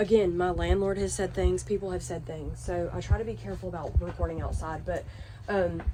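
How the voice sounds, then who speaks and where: A woman talks quietly at a fairly quick pace, with audible echo from the room. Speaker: RV lifestyle vlogger. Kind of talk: home tour vlog. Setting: inside an RV. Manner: casual, filler-heavy; quiet outdoors.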